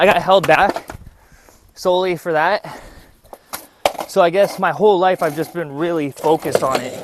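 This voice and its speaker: A man's high, relaxed voice at a moderate pace, with fairly even intonation, long and frequent pauses, and noticeable background noise. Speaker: vlogger. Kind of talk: casual vlog monologue. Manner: relaxed, rambling with fillers.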